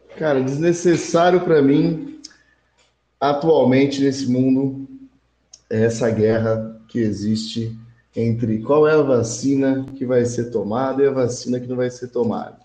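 At a fairly slow pace, a man with a medium pitch and a dark, mellow tone speaks amid audible room echo. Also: ordinary pitch variation. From Brazil, Hortolândia (São Paulo state). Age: 20s. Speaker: podcast guest. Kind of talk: casual chat.

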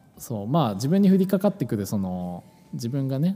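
A man speaks fairly quickly with lively intonation while music plays behind him. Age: 20s. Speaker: podcast co-host. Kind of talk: casual chat. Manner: hesitant, many fillers.

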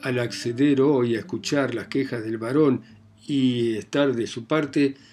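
Someone reads aloud in an unforced voice.

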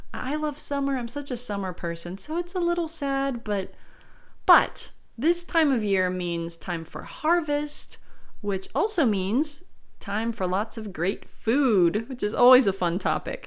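A woman with a high pitch swings very widely in pitch at a fairly slow pace, with audible room echo. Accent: American. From South Carolina. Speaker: podcast host and dictionary co-author. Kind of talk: educational podcast monologue with readings. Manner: casual, with frequent fillers.

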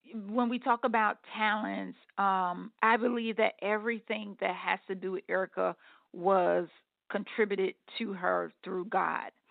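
Her voice is a plain, everyday voice, a woman speaking at a fairly high pitch. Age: 40s. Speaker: spiritual life coach and author. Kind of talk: casual interview, faith testimony.

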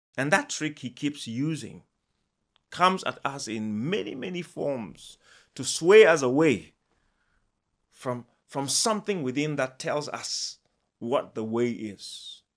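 On a very clean recording with a silent background, a man speaks at a very slow pace with long, frequent pauses, lively intonation and a fairly high pitch. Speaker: preacher. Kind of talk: sermon. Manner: impassioned, earnest preaching; repeats phrases, halting pauses while preaching.

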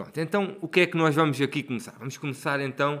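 A man with a fairly high voice talks very fast. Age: 40s. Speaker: podcast co-host. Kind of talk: casual chat.

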